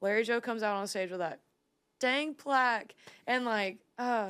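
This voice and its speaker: A woman's animated, fairly high-pitched voice in an American accent, at a moderate pace, on a very clean recording with a silent background. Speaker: singer-songwriter. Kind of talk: casual chat.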